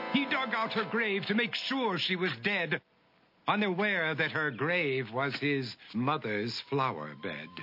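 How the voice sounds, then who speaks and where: The speech is very slow, with very wide pitch swings. Noticeable background noise runs underneath. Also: man, fairly high pitch for a man. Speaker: narrator. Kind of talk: rhyming story narration for animated short.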